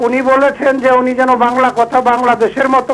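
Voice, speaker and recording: An extremely high male voice over noticeable background noise. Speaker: viewer caller. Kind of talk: call-in question.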